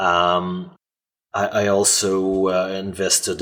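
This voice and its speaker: This man has a fairly low pitch. He talks with a non-native accent. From Canada. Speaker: software author and developer. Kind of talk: podcast interview. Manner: halting, many fillers and repetitions.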